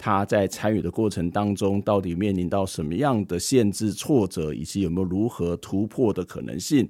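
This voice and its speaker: This man has a plain, everyday voice with ordinary pitch variation, captured in a very clean recording against a silent background. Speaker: podcast interviewer. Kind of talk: scripted narration.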